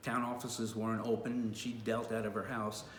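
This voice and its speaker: There is audible room echo and noticeable background noise as a man at medium pitch talks at a fairly quick pace. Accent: American. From New York. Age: 60s. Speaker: retail worker and former local official. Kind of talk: personal testimony to camera. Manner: halting, many fillers.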